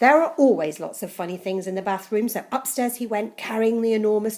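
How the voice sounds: Reading voice that sounds natural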